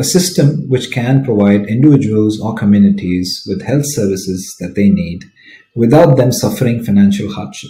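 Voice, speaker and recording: Somewhat breathy, a man's dark, mellow voice carries audible room echo. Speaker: conference presenter. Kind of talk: lecture. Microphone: webcam.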